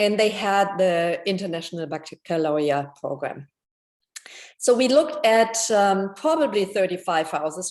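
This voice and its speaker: A woman talks with a European accent. She goes at a fairly slow pace. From Germany. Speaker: homeowner. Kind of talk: testimony. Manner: halting, many fillers.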